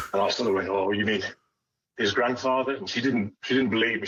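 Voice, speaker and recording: A man talks at a very fast pace. He has a West Midlands accent. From West Midlands, England. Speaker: sports fan. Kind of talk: radio interview. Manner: halting.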